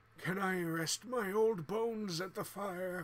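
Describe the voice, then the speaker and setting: In a put-on character voice, a man talks at a fairly slow pace and high pitch with fairly even intonation. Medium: game stream.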